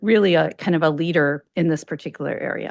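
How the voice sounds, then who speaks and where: A woman with a slight Chicago accent speaks at a fairly low pitch against a quiet background. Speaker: academic researcher, invited speaker. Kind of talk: lecture. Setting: lecture hall with in-person and online audience. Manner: fast.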